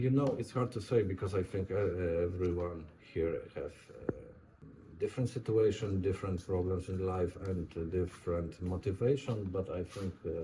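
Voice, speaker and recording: With a Polish accent and a very deep, low pitch, a man speaks at a moderate pace with ordinary pitch variation over noticeable background noise. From Poland. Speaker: war veteran. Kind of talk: interview. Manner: halting.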